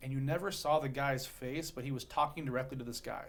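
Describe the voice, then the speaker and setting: With an American accent, a man talks at a very fast pace in a somewhat breathy voice. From US West Coast, Long Beach, California. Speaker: real estate investor and keynote speaker. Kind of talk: podcast interview. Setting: studio. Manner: animated.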